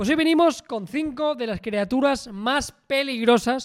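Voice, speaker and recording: This is a man speaking. His intonation is lively. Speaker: travel podcast co-host. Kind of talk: casual chat.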